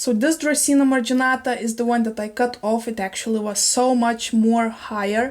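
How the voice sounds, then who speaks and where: Her high-pitched voice holds a fairly even intonation as the woman speaks. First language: not English (English is her third). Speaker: plant YouTuber. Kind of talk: casual video chat, plant show-and-tell. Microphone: better microphone quality.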